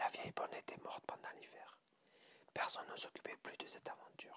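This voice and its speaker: The speaker whispers. The pace is moderate. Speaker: ASMR reader. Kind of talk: ASMR short story reading. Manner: whispered.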